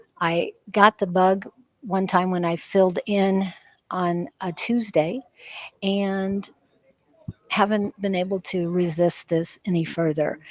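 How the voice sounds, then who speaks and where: Speaking at a very slow pace with long, frequent pauses, a woman uses a medium pitch and fairly even intonation in a dry, close sound with no echo. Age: 60s. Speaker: psychic reader. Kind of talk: casual talk to camera.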